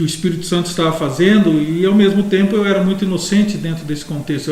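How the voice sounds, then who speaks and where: Over noticeable background noise and audible room echo, a man talks at a fairly quick pace in a high pitch with ordinary pitch variation. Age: 60s. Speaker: pastor. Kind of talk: casual chat.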